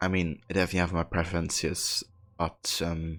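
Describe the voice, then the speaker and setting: A man's very deep, low voice at a moderate pace. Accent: German. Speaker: video game streamer. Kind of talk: casual live-stream chat with viewers. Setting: live stream. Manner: hesitant, many fillers.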